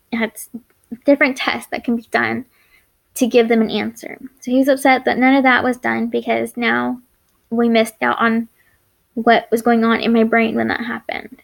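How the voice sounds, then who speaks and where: Long, frequent pauses break up a woman's speech at a moderate pace. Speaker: chronic illness vlogger. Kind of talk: personal vlog story. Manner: halting, speech errors; unedited, stumbling.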